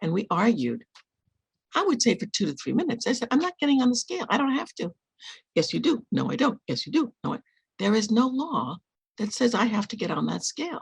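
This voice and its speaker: A woman talks at a fairly quick pace, her fairly high voice making very wide pitch swings and showing vocal fry. The sound is dry and close, with no echo. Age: 70s. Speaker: hypnotherapist and author. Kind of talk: podcast interview. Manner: animated.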